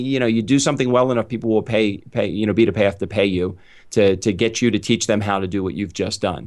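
A man speaks against a quiet background. He has a medium pitch and a plain, everyday voice. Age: 50s. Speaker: author and public speaker on customer service. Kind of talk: interview.

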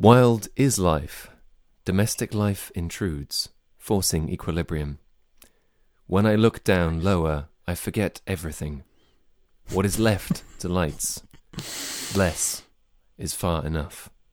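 In a robotic, put-on character voice with a very deep, low pitch, a man speaks at a fairly slow pace with long, frequent pauses on a very clean recording with a silent background. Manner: flat, robotic monotone.

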